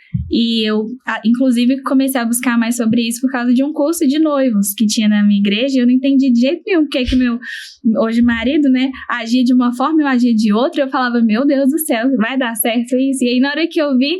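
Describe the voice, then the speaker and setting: Keeping her loudness very even, a woman speaks at a fairly quick pace in a high pitch with fairly even intonation. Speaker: podcast host. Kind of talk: podcast interview conversation. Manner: gentle, soft delivery.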